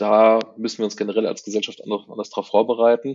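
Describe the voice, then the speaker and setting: This man talks at a fairly quick pace in a fairly low pitch, his intonation monotone and flat. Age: 50s. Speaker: author and IT worker. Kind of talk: interview. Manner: halting.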